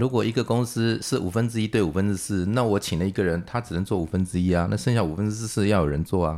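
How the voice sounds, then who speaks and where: With a fairly low pitch and a dark, mellow tone, a man talks at a very fast pace with hardly any pauses, very even loudness, and ordinary pitch variation. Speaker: engineering consultancy founder. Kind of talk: casual interview.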